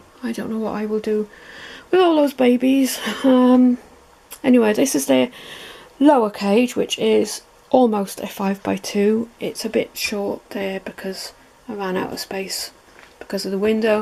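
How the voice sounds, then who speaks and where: The speaker talks at a moderate pace with lively intonation, leaving long, frequent pauses. Noticeable background noise runs under the voice. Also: woman. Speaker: pet video creator. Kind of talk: guided tour video. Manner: soft-spoken; casual with fillers.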